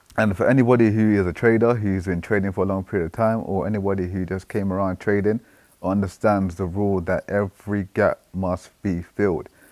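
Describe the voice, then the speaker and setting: A man's fairly low voice with a British accent at a fairly quick pace, on a very clean recording with a silent background. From Britain. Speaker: trading analyst YouTuber. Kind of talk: market analysis commentary. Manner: casual, animated.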